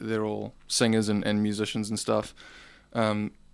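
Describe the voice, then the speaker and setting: On a very clean recording with a silent background, a man with a New Zealand accent speaks at a medium pitch. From New Zealand, Auckland. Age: 20s. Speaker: rock singer. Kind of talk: casual chat.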